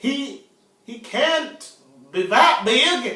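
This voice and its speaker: Someone does a put-on character voice at a high pitch with a slight echo. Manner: stammering, nervous.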